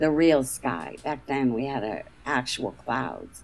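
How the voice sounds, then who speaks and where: A woman's very deep, low voice with lively intonation. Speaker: roundtable participant. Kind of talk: casual group discussion.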